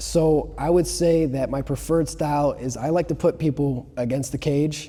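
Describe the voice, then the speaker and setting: This man has an ordinary speaking voice with an American accent. His pitch is fairly high and his intonation fairly even. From Chicago area, US Midwest. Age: 20s. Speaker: martial arts student. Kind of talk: casual chat.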